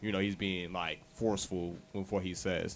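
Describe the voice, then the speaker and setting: Music plays in the background as a man with a very deep, low voice speaks at a moderate pace in a monotone, flat way. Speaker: podcast co-host. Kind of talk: casual chat. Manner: stern, forceful; laid back.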